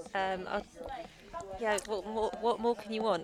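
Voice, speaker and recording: Moderately paced speech from a woman with a southern English accent and a fairly high pitch, over noticeable background noise. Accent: British, southern English. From London, England. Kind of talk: casual chat.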